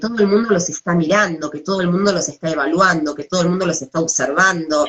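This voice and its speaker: A woman speaks at a fairly quick pace in a Rioplatense accent. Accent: Argentine Rioplatense Spanish. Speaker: psychologist. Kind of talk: talk on adolescence.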